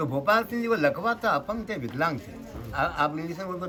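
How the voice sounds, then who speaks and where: A man talks with very wide pitch swings. Crowd noise fills the background, and the room echo is audible. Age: 60s. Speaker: local storyteller and guide. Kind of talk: guided tour narration.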